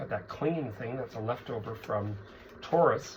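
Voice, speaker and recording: Through noticeable background noise, a man talks at a moderate pace with lively intonation. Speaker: psychic tarot reader. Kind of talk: tarot reading monologue.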